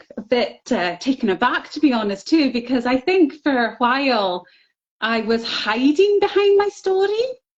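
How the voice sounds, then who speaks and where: A woman with a Scottish accent speaks at a fairly slow pace, her pitch swinging very widely. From Scotland. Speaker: author sharing MS recovery story. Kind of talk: interview.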